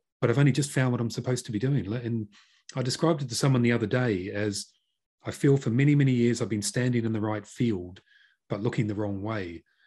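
A man with a medium pitch speaks at a very fast pace, his voice somewhat breathy and dark and mellow in tone, with ordinary pitch variation. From New Zealand. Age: 50s. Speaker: business consultant and podcast host. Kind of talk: interview.

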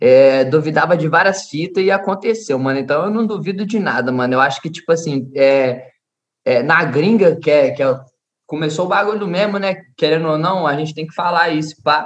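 This is an ordinary speaking voice at a moderate pace with ordinary pitch variation. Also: man, fairly high pitch for a man. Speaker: trap artist. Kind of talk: casual chat.

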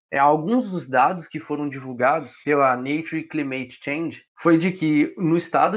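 A man talks at a fairly slow pace in a fairly high pitch with ordinary pitch variation. It is a normal speaking voice. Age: young. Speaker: podcast co-host, environmental engineering student. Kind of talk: casual informative podcast chat.

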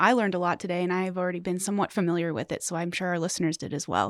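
The speech comes very fast in a very clean recording with a silent background and a dry, close sound with no echo. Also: woman. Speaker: podcast co-host. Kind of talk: casual interview. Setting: studio.

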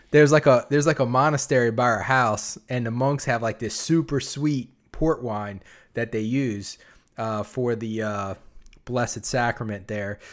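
An unremarkable speaking voice of a man at a medium pitch and a moderate pace, with ordinary pitch variation, in a very clean recording with a silent background. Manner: casual.

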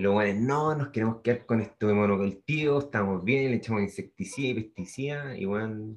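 With a Chilean accent, a man of medium pitch talks fairly quickly, with hardly any pauses. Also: ordinary pitch variation. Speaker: podcast co-host. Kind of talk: casual chat.

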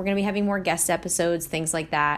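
A woman speaks with a Philadelphia accent. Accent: Philadelphia-area American English. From Delaware County, Pennsylvania. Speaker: podcast host and life coach. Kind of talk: casual solo monologue.

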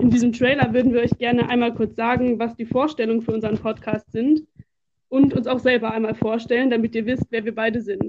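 A woman's fairly high-pitched, flat, monotone delivery at a fairly quick pace. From Germany, Duisburg (Ruhr area). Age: 20s. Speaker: podcast co-host, student teacher of religion. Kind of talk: scripted podcast trailer.

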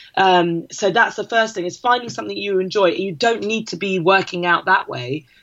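A woman speaks in a plain, everyday voice. She leaves hardly any pauses. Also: medium pitch for a woman, ordinary pitch variation, moderate pace. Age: 30s. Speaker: fitness campaign founder and mum. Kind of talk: casual interview chat.

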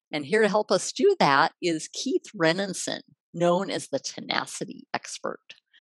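A woman with a normal speaking voice talks at a fairly slow pace, medium in pitch and lively in intonation, in a dry, close recording with no echo. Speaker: podcast host. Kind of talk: interview, casual conversation.

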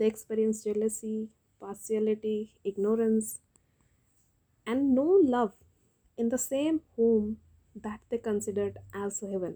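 A woman's fairly high, dark, mellow voice at a fairly slow pace, with fairly even intonation and long, frequent pauses. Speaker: poet and podcaster. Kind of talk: poem performed, reading aloud with repeated lines; solo poetry podcast, intimate address to listeners.

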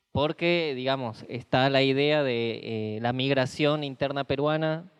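A man talks in a normal speaking voice with fairly even intonation. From Peru. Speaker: moderator. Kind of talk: panel moderation. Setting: room with audience.

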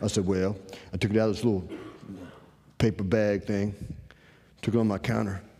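A man speaks with a North Carolina accent. His pitch is medium. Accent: Southern US (North Carolina). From US South, eastern North Carolina. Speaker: trading course instructor. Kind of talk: lecture. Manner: casual, folksy storytelling.

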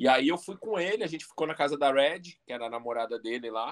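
Talking at a fairly quick pace, a man with a São Paulo accent lets his pitch swing very widely. The sound is dry and close, with no echo. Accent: São Paulo Portuguese (paulistano). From Brazil, São Paulo (East Zone). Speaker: professional body piercer. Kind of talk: casual interview chat.

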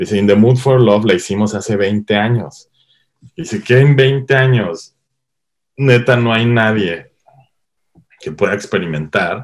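Fairly slow delivery with ordinary pitch variation and long, frequent pauses. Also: man, medium pitch for a man. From Mexico, Cuernavaca, Morelos. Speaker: cinematographer. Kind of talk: interview. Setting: online call.

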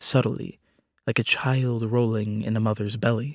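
Here a man with an ordinary speaking voice and medium pitch talks at a fairly slow pace, recorded very cleanly against a silent background with a dry, close sound and no echo. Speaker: poem reader. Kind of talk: poetry reading, spoken word.

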